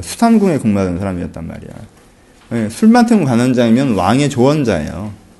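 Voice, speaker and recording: Very wide pitch swings around a medium-pitched male voice. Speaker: pastor. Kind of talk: Bible study teaching. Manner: animated.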